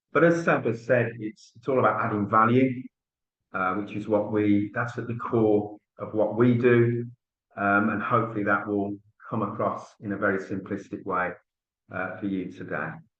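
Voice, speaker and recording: A man with a Birmingham accent talks at a moderate pace and a fairly low pitch, with fairly even intonation. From Birmingham area, England. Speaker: tax relief specialist. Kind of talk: business webinar presentation.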